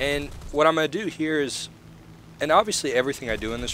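A man is speaking. He goes at a very fast pace. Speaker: gaming YouTuber. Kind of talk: casual gameplay commentary.

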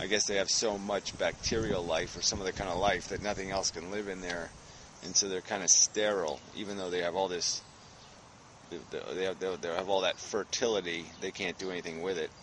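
At a fairly quick pace, a man speaks in a very deep, low, monotone voice with flat intonation, the sound dry with no echo and light background noise. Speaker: vlogger. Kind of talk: casual vlog chat. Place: forest. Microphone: phone near.

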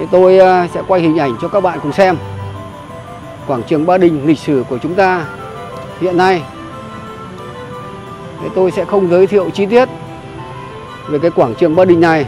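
Long, frequent pauses at a moderate pace, dry with no echo, with music in the background. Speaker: travel vlogger. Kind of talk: casual vlog chat. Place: street. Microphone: phone near.

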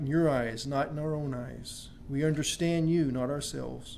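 With light background noise, a man speaks in a dark, mellow tone with fairly even intonation. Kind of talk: prayer. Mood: reverent, calm. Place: church. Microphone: podium.

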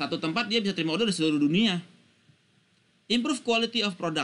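Talking at a very fast pace, a man uses a bright, sharp tone and lively intonation. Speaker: university lecturer. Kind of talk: lecture.

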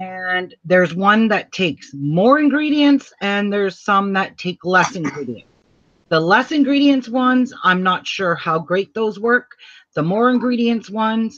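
Very wide pitch swings at a fairly slow pace, against a quiet background. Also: woman. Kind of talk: tutorial. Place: home room.

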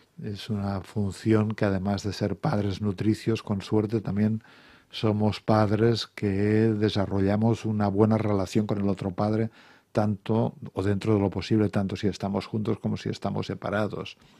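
Against a quiet background, a dark, mellow voice speaks at a moderate pace with monotone, flat intonation and a dry sound with no echo. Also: man, fairly low pitch for a man. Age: 60s. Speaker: psychotherapist and author; guest. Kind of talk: radio interview. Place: studio. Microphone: studio mic.

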